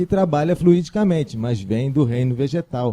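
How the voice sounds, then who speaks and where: A man speaks at a medium pitch with lively intonation and a dark, mellow tone. The sound is dry and close, with no echo. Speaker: spiritual channel presenter. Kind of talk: religious teaching talk.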